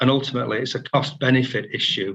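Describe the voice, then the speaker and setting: In a Yorkshire accent, the speaker moves at a fairly quick pace with a bright, sharp tone and ordinary pitch variation. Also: man. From northern England. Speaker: member of the public speaking at a planning meeting. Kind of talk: prepared statement. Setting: video call.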